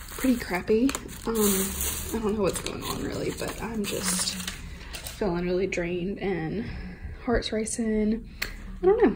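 The speech moves at a moderate pace with fairly even intonation and long, frequent pauses over light background noise. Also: woman. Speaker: vlogger. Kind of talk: casual vlog chat. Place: home room. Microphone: phone near.

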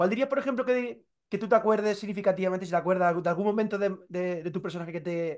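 Over a quiet background, a man talks at a very fast pace and a high pitch with ordinary pitch variation. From Spain, Toledo; Spain. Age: 30s. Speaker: entertainment journalist. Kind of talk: interview. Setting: video call. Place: home room. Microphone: video call.

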